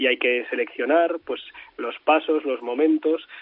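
A man's delivery is monotone and flat, moving at a moderate pace. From Spain, Madrid. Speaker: priest and journalist. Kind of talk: interview. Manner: halting.

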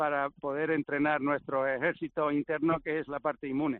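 This man has a Canarian accent and a fairly high pitch. He moves at a fairly quick pace in a monotone, flat delivery. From Canary Islands (Gran Canaria). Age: 50s. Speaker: professional golfer. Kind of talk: casual interview.

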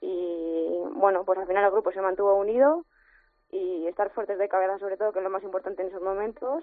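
Speaking at a fairly quick pace, a woman keeps a medium pitch with ordinary pitch variation. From Madrid, Spain. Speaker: footballer. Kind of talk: phone interview. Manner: hesitant, many fillers.

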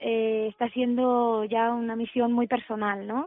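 A woman talks at a fairly slow pace in a fairly high pitch. She has an ordinary speaking voice. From Spain, Alicante. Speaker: singer. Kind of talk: interview.

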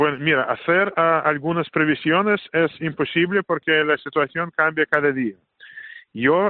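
With a Russian accent, a man speaks at a moderate pace in a fairly high pitch, his intonation fairly even. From Russia, Saint Petersburg. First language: Russian (speaking Spanish). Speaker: Orthodox priest. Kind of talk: interview. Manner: halting, many fillers.

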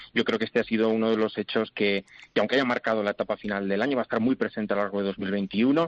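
Very fast in pace, a man speaks at medium pitch with fairly even intonation. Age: young. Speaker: commentator. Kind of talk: panel discussion.

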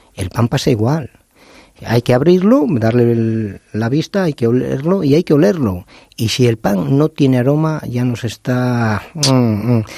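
A man's dark, mellow voice at medium pitch and a fairly slow pace, lively in intonation, with a dry, close sound and no echo. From León, Spain. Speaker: baker. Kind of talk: interview.

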